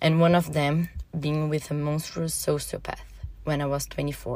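Over a silent background in a very clean recording, a woman speaks at a moderate pace. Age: 30s. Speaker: listener sharing personal story. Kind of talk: reading aloud a personal story.

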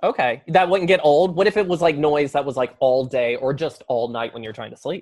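A fairly quick delivery in an American accent, with hardly any pauses. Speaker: podcast host. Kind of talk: casual interview chat.

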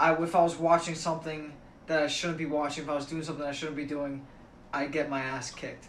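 A man speaks at a very fast pace and a fairly high pitch, his intonation monotone and flat. Noticeable background noise and audible room echo fill the recording. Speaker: college student. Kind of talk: casual chat.

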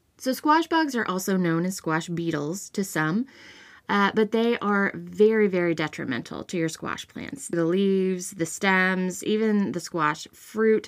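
A woman with an unremarkable speaking voice talks at a fairly slow pace, with a medium pitch and lively intonation. The recording is very clean, with a silent background. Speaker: podcast host. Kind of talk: solo podcast episode, informative talk.

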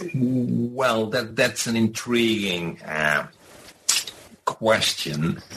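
A man at a very slow pace with lively intonation and long, frequent pauses, over noticeable background noise. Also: medium pitch for a man. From Netherlands, Rotterdam. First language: Dutch. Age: 50s. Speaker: professor. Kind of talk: interview. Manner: halting.

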